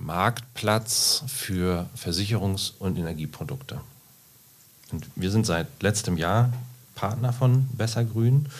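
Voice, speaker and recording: A man speaks at a medium pitch. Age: 40s. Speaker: insurance sales manager. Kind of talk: podcast interview.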